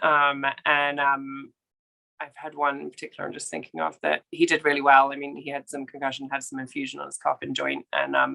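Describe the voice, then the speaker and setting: A woman with an English accent talks at a fairly quick pace, her loudness swinging widely. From England. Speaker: equine veterinarian. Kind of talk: interview. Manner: hesitant, many fillers.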